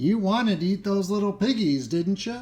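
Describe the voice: At a moderate pace, a man does a cackling put-on character voice with a high pitch.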